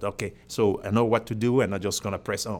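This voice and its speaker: With a Cameroonian accent, a man talks very fast at a medium pitch with ordinary pitch variation. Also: very clean recording, silent background. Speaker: airline pilot. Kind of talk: casual interview.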